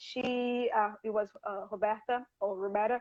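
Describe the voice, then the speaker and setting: A fairly high-pitched woman's voice with a Portuguese accent. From Rio de Janeiro, Brazil. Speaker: health coach. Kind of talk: interview on a livestream. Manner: halting.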